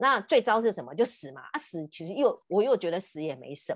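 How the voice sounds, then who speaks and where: A woman's fairly high-pitched voice with very wide pitch swings and vocal fry, over a quiet background. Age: 50s. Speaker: podcast host and counselor. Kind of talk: casual chat.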